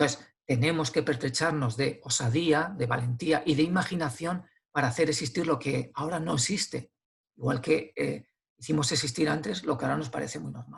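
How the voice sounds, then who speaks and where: Speaking at a fairly quick pace, a man shows vocal fry and ordinary pitch variation. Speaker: philosopher and author. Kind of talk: interview conversation. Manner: hesitant with fillers and repetitions.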